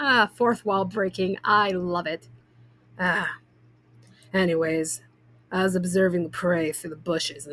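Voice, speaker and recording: A woman's raspy, put-on character voice at medium pitch, fairly slow, with long, frequent pauses. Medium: game stream. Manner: gruff, blunt.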